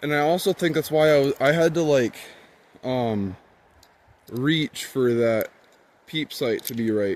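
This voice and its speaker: A man is shouting loud, his intonation lively. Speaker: outdoors YouTuber reviewing a bow. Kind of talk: casual tutorial. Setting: outdoors. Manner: loud, near yelling.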